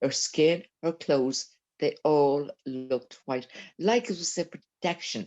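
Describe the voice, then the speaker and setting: A woman speaks at a very slow pace with a very deep, low pitch. Her intonation is lively and her tone dark and mellow. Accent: Dublin. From Ireland, Dublin. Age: 70s. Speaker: eyewitness. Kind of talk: interview testimony. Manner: halting.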